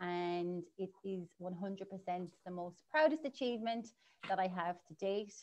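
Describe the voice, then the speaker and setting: With an Irish accent, the speaker goes at a fairly slow pace with ordinary pitch variation. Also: woman. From Ireland. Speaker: marketing agency owner; guest. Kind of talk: interview. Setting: livestream. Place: home room. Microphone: video call.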